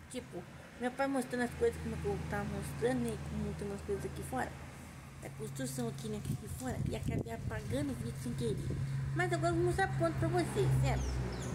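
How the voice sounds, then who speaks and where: Fairly quick speech from a woman against loud background noise. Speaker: vlogger. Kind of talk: casual vlog chat. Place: garden. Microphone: phone near.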